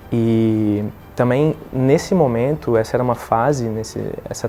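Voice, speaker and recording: There is noticeable background noise. Through it, a man speaks at a medium pitch. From southern Brazil, Rio Grande do Sul. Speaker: thoracic surgeon. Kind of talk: testimony. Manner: halting, with fillers and repetitions.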